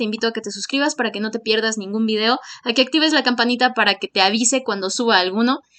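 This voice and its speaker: Bright and sharp in tone, a woman with a Mexican accent speaks at a high pitch with ordinary pitch variation. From Mexico. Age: 20s. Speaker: medical student and YouTuber. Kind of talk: tutorial. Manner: hesitant, many fillers.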